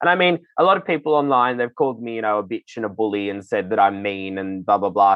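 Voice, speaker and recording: A man with an Australian accent and a lively, bouncy intonation. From Sydney, Australia. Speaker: drag performer and entertainment manager. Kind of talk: interview. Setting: remote audio call.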